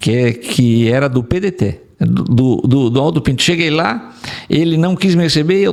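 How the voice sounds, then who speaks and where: A man talks with lively intonation at a fairly high pitch. Noticeable background noise is present. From Rio Grande do Sul, Brazil (Rondinha). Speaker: engineer, urban mobility specialist. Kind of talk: interview. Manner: halting, many repetitions.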